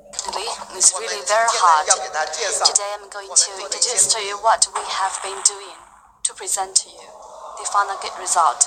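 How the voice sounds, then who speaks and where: Speaking with a Chinese accent at a medium pitch and moderate pace, a woman keeps her intonation fairly even while her loudness swings widely, with noticeable background noise behind her. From China. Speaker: company executive presenting a phone. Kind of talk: product presentation.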